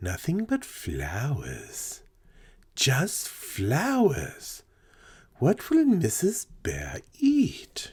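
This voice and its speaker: This is a put-on character voice. The pace is very slow. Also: man, fairly high pitch for a man. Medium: read story.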